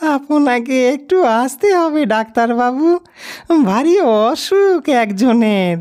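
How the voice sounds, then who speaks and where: This man uses a put-on character voice at an extremely high pitch. He talks very slowly, with lively intonation. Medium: read story.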